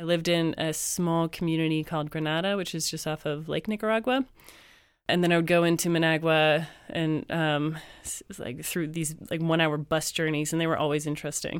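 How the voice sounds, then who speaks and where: An ordinary speaking voice from a woman with a Canadian accent, at a fairly low pitch and a fairly quick pace, with fairly even intonation, on a very clean recording with a silent background. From Canada. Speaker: university lecturer. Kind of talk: casual chat. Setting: studio.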